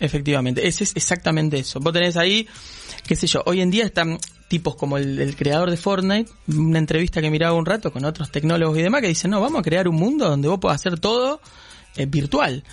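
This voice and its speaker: A man with a Rioplatense accent, high pitch and ordinary pitch variation, talking at a very fast pace with very even loudness over music in the background. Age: 30s. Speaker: tech specialist. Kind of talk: casual chat.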